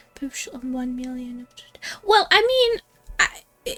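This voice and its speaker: With music in the background and a dry, close sound with no echo, a woman talks at a fairly slow pace using very wide pitch swings. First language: Russian. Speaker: gaming streamer. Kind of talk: live game stream commentary. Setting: live stream. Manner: halting, many fillers and restarts.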